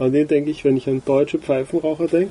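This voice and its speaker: A man's dark, mellow, somewhat breathy voice, fairly high in pitch, with fairly even intonation and a dry, close sound with no echo. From Austria. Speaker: cigar podcast co-host. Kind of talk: casual chat.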